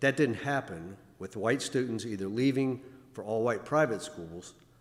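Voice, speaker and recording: This man has an ordinary speaking voice at medium pitch, moving at a moderate pace with ordinary pitch variation. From Virginia. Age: 60s. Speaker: church member speaker. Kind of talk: talk at a Sunday service. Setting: church. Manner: formal.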